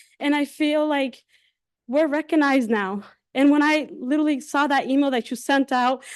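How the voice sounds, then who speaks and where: A woman talks in a high pitch with ordinary variation and a non-native accent. The background is quiet. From war-torn country abroad. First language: not English. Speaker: parent giving public comment. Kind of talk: public comment at meeting. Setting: school committee meeting. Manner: halting.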